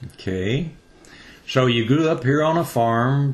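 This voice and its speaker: Speaking with a plain, everyday voice, a man keeps a medium pitch with ordinary pitch variation. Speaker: radio host. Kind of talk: radio interview questions.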